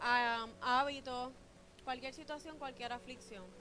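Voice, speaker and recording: A soft-spoken woman with a high pitch and a moderate pace, plus audible room echo and music in the background. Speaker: pastor. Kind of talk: sermon.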